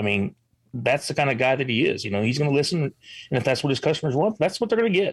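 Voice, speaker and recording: A man with an American accent at a very fast pace, fairly high and somewhat breathy, with very wide pitch swings and very even loudness. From Illinois. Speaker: veteran, show co-host. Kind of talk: casual chat.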